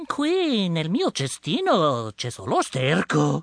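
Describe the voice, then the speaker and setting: A man speaks in an animated, theatrical tone. The sound is dry and close, with no echo. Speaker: podcast host and Italian language instructor. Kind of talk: dramatic storytelling narration in Italian, acting out the tale. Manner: animated, theatrical, expressive storyteller.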